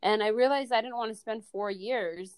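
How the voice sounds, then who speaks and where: Here a woman speaks in an ordinary speaking voice with an American accent. Her pace is fairly quick. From US Midwest, Indiana. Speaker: entrepreneur, marketing agency founder. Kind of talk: casual interview.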